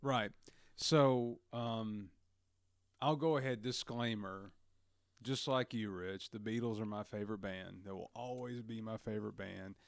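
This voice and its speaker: On a very clean recording with a silent background, someone with a Southern US accent talks at a fairly slow pace with ordinary pitch variation. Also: man, medium pitch for a man. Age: 30s. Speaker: guest. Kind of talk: casual chat.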